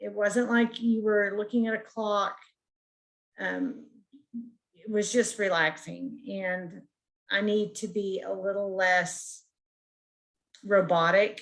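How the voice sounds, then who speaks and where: A woman is speaking very slowly. Her intonation stays fairly even. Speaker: counseling student. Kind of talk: peer review feedback. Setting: video call.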